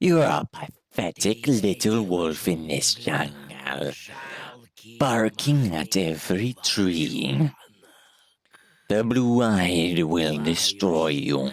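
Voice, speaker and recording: A man puts on a character voice at a very deep, low pitch, speaking very slowly with very wide pitch swings. His loudness stays very even, and hissing can be heard. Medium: game stream. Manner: hissing, cryptic, condescending.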